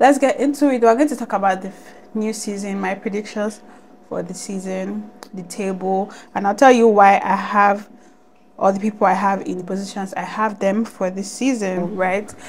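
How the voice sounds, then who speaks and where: Fairly even intonation at a moderate pace, with big swings in loudness over noticeable background noise. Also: woman, medium pitch for a woman. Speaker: football YouTuber. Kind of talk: casual vlog commentary.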